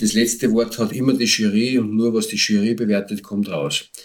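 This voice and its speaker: This man uses a plain, everyday voice at medium pitch. He keeps a moderate speed with ordinary pitch variation. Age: 50s. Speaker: homebrewer and beer association board member. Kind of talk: casual chat.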